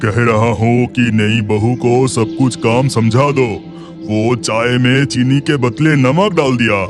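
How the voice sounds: Over clear background music, a man performs a cartoonish character voice at a medium pitch. He keeps a moderate pace.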